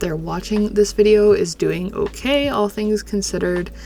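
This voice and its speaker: A woman talks at a moderate pace with music playing behind her. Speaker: digital artist. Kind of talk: casual talk over drawing video. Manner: subdued, low-energy.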